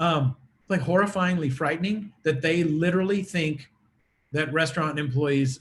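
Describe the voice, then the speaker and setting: The man's voice is fairly high and somewhat breathy, with ordinary pitch variation. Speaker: attorney. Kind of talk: conference presentation. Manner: fast.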